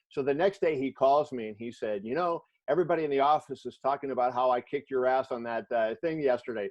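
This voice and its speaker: Speaking at a very fast pace with hardly any pauses, a man uses a medium pitch and ordinary pitch variation. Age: 60s. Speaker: sports journalist. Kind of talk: interview in a virtual class.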